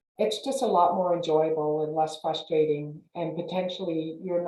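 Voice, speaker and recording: A woman with a very deep, low pitch, speaking at a moderate pace amid audible room echo. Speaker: realtor. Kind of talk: panel presentation. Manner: halting, many fillers.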